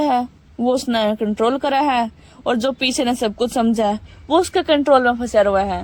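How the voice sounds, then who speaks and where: A high-pitched woman's voice with a Haryana accent, lively intonation, and noticeable background noise. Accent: Haryanvi. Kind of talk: book summary narration. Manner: motivational, casual.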